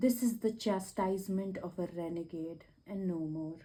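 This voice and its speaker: Soft-spoken and somewhat breathy, a woman talks at a medium pitch in a dark, mellow, soothing tone with fairly even intonation. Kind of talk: ASMR book reading. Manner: soothing, soft-spoken.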